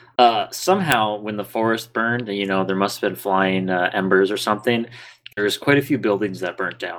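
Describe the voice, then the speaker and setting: This man has an ordinary speaking voice with a fairly low pitch. He talks at a moderate pace with fairly even intonation. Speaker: podcast host and dungeon master. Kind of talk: tabletop role-play game narration.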